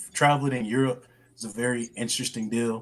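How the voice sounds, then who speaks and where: A man with a Southern US accent, medium pitch, fairly even intonation and a moderate pace. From US South. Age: 20s. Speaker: podcast guest, former student. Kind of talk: casual chat.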